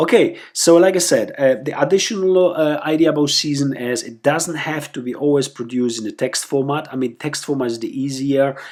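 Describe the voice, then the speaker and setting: In a very clean recording with a silent background, a man with a non-native accent speaks at a fairly high pitch and moderate pace with lively intonation. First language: not English. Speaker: website founder presenting tutorial. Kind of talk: screencast tutorial. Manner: halting, many fillers and repetitions.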